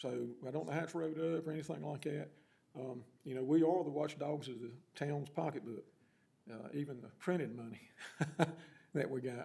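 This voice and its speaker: In an American accent, a man with a fairly high, dark and mellow voice and vocal fry talks with ordinary pitch variation and long, frequent pauses amid audible room echo. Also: moderate pace. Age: 60s. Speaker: town council member. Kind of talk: council meeting discussion. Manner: halting.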